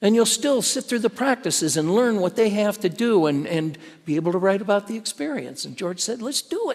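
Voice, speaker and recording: Using lively intonation, a man with a high pitch talks at a fairly quick pace with hardly any pauses. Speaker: pastor. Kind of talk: sermon. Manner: conversational, storytelling.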